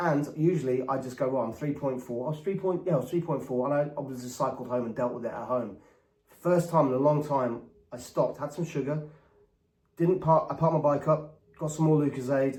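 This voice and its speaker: This man with an English accent talks at a fairly quick pace, his voice somewhat breathy with a dark, mellow tone and fairly even intonation. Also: fairly high pitch for a man. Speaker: former pop star turned diabetes vlogger. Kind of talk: casual vlog monologue. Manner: eccentric, rambling delivery during hypo.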